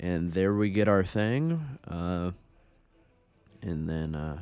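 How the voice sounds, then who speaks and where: Music plays behind the talking. A man speaks very deep and low, with ordinary pitch variation. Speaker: gaming commentator. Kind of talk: casual gameplay commentary.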